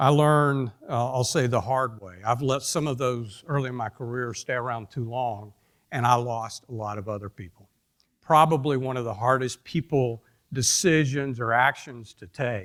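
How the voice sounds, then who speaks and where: A man with a Georgia accent speaks at a moderate pace in a medium pitch, with ordinary pitch variation and big swings in loudness, on a very clean recording with a silent background. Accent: Georgia southern. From US South, Atlanta, Georgia. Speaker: industry executive speaker. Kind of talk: conference talk. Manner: halting.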